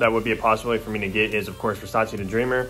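A man, with faint music in the background. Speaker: fragrance vlogger. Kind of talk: casual vlog chat. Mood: pleased, upbeat. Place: home room. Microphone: phone near.

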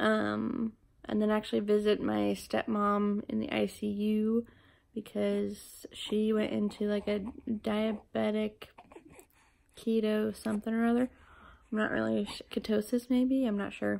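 At a fairly slow pace, a woman speaks with long, frequent pauses and very even loudness. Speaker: mother vlogger. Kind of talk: casual vlog chat. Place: home room. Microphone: phone near.

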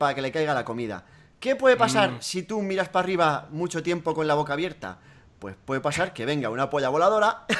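Pitch swinging very widely, a man with a fairly high voice talks at a very fast pace. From Spain. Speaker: gaming youtuber; gaming youtuber hosting a radio-style segment. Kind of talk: comedic call-in show. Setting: Skype call. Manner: animated.

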